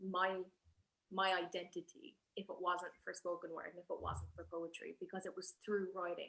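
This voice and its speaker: This is a woman speaking. She has an Irish accent. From Ireland. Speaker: spoken word poet. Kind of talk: panel conversation. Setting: live event at a museum.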